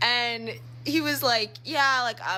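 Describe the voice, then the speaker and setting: Noticeable background noise sits behind this woman. She sounds animated, with an American accent. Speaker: social media storyteller. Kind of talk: casual storytelling. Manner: fast.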